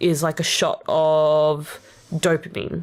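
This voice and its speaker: This woman has an Australian accent. She talks at a very slow pace. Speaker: vtuber rapper streamer. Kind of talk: casual livestream chat.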